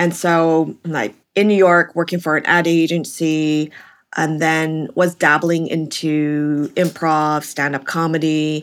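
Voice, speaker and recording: Over a very clean recording with a silent background, a woman with very deep, low pitch speaks very slowly with fairly even intonation. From Vancouver, western Canada. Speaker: stand-up comedian. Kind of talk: casual chat.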